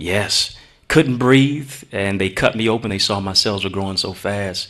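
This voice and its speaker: With an American accent, a man speaks at a moderate pace in a bright, sharp tone with ordinary pitch variation. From Detroit east side, partly Kingston, Jamaica. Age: young. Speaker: motivational speaker and author. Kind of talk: TV talk show interview.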